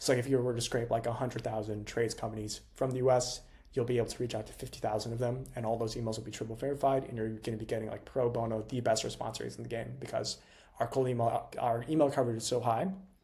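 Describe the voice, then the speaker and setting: Very fast and somewhat breathy, a man speaks in a dark, mellow tone. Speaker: cold email agency founder, tech entrepreneur. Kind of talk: freestyle tutorial to camera. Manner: high energy, animated.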